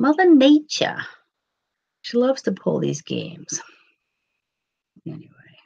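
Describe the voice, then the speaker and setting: With a New York accent, a woman talks at a moderate pace. Her speech has long, frequent pauses. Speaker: paranormal channel host. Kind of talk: casual live-stream chat.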